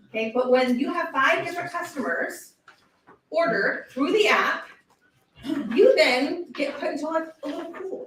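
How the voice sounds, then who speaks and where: Loud and animated, a woman with an extremely high pitch speaks at a moderate pace with very wide pitch swings and long, frequent pauses, with audible room echo. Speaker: direct sales consultant speaking at event. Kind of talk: motivational talk to live audience.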